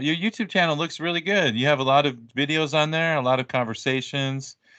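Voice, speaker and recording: This man has a normal speaking voice with an American accent, a fairly high pitch, and a fairly quick pace with hardly any pauses. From United States. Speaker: English teacher and podcaster. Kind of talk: casual conversation.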